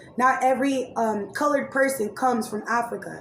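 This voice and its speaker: A woman talks at a fairly quick pace in a high, monotone voice with flat intonation. Noticeable background noise runs behind her. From Raleigh, North Carolina, then San Diego. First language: Spanish. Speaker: YouTuber and commentary podcaster. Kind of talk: casual storytime monologue. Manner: casual, many fillers.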